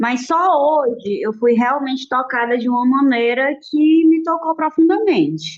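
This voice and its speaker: A woman's voice with lively intonation. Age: 30s. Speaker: study group participant. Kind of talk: group discussion.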